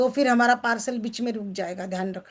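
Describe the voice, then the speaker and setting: In a quiet background, a woman speaks. Her pitch variation is ordinary. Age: 60s. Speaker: success coach. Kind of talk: book reading and discussion with group. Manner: conversational, interactive.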